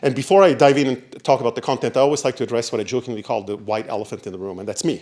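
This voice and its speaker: Here a man talks at a very fast pace in an Italian accent. His pitch is medium with ordinary variation, and the recording is very clean with a silent background. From Italy. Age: 60s. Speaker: diversity consultant and former professor. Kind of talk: panel presentation.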